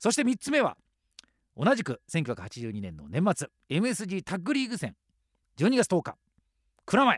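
Recorded very cleanly against a silent background, a man speaks in a high pitch with a dry, close sound and no echo. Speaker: radio host. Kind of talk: radio show monologue.

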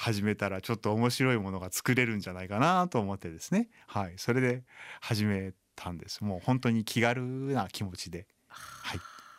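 This man has a plain, everyday voice, fairly low in pitch with ordinary pitch variation, speaking at a moderate pace. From Japan, Chiba. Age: 40s. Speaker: blind violinist. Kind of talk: radio interview.

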